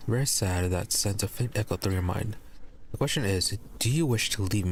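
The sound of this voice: Just an unforced reading voice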